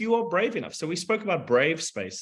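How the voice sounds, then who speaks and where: A man's vocal fry comes through a very clean recording with a silent background. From South Africa. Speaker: engineering leader, panelist. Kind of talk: panel discussion. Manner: halting, with many repeats and fillers.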